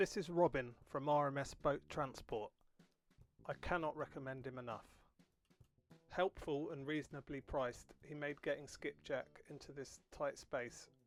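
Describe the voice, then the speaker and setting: Against music in the background, the speech moves at a moderate pace with fairly even intonation, big swings in loudness, and long, frequent pauses. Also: man, fairly high pitch for a man. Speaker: boat restorer and YouTuber. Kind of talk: video voiceover narration. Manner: monotone.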